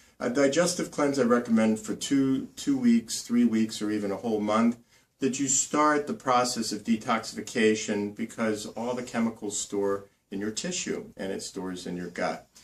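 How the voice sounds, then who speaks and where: A man talks at a moderate pace and medium pitch, varying it in an ordinary way. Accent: New Jersey. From New Jersey. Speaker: naturopathic doctor. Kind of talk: health tips tutorial. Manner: casual, with many fillers.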